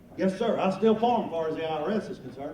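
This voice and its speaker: Over noticeable background noise and audible room echo, a man speaks high and fairly quickly with lively intonation. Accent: American. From North Carolina. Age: 50s. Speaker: comedian and farmer. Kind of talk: stand-up.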